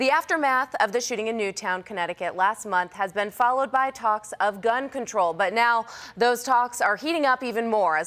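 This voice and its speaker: Fairly high in pitch, a woman talks at a moderate pace with ordinary pitch variation. Hers is a plain, everyday voice. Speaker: news anchor (audition). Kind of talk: TV news anchor read.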